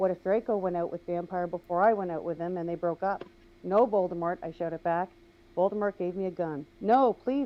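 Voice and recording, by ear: Here someone is reading aloud in a natural voice.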